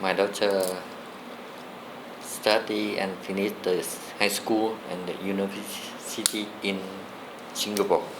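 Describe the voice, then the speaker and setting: Through noticeable background noise, a man with a Vietnamese accent and a fairly low pitch speaks at a very slow pace in a monotone, flat intonation with long, frequent pauses. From southern Vietnam (Saigon). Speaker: former soldier. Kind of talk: interview answer.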